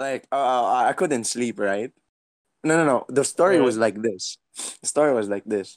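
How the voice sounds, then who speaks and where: On a very clean recording with a silent background and a dry, close sound with no echo, a man talks in an ordinary speaking voice at medium pitch, at a moderate pace with ordinary pitch variation. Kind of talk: casual chat. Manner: rambling, laughs often.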